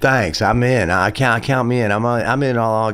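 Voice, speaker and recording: At a moderate pace, a man with a Southern accent talks at a medium pitch with fairly even intonation. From US South. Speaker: singer-songwriter and guitarist. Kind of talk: casual interview.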